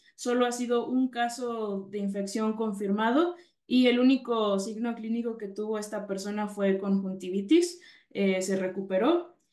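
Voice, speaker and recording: A woman with a Mexican accent speaks at a fairly slow pace and fairly high pitch, with ordinary pitch variation. The background is quiet, and audible room echo can be heard. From Mexico. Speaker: veterinarian, dairy specialist; presenter. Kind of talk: webinar presentation. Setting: video webinar. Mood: calm, informative. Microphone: webcam.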